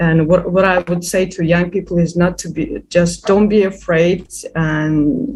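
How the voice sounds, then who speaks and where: A woman with a non-native accent speaks at a moderate pace in a fairly low, somewhat breathy voice, with fairly even intonation and hardly any pauses. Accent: non-native English, noticeable. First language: not English. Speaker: youth activist. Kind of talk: interview. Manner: halting, many repetitions and fillers.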